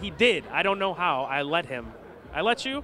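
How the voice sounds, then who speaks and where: Over crowd noise in the background, a man speaks at a moderate pace in a raised, projected voice with very wide pitch swings. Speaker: sports radio show host and interviewer. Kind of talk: casual interview questions.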